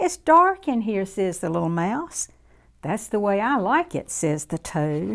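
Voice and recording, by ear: A natural voice, reading something aloud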